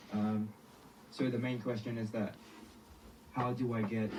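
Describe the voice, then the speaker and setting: Amid noticeable background noise and audible room echo, a man speaks fairly slowly in a fairly low pitch with monotone, flat intonation. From Philippines. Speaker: caller. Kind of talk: question on live call. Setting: video call.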